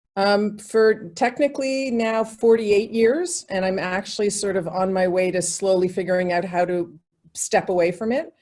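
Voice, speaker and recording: This is an ordinary speaking voice with ordinary pitch variation, delivered at a moderate pace. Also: woman, medium pitch for a woman. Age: 60s. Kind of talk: interview.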